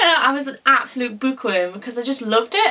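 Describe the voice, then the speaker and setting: A woman's high voice with an English accent, fairly quick pace. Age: 20s. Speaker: former dyslexia student. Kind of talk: testimony. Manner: loud; animated.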